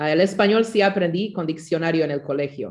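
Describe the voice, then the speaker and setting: A woman speaks with a German accent. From Canada, Mennonite community; Bolivia from age 11. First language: German (speaking Spanish). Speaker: student in a church language course. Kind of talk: class introduction. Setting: video call.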